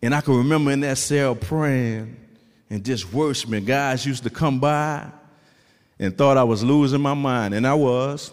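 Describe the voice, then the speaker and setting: Animated and warm in tone, a man with a New Orleans accent speaks at a medium pitch and moderate pace with ordinary pitch variation. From New Orleans, Louisiana. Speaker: formerly incarcerated man, author, testimony speaker. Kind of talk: preaching-style testimony to a church congregation, call-and-response. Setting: church stage with a live audience. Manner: animated, rhythmic preacher cadence, exhorting the crowd with repeated 'come on'; warm, humorous and conversational with the audience.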